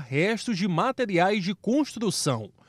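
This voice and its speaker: A man speaks at a fairly slow pace with lively intonation. The recording is very clean with a silent background, dry and close with no echo. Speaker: news reporter. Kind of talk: news reading.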